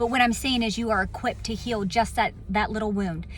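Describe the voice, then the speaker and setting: A woman with an American accent talks fairly quickly in a plain, everyday voice. Her pitch is fairly high and her intonation fairly even. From Virginia Beach, US. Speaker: motivational speaker. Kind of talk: inspirational talk. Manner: casual, conversational.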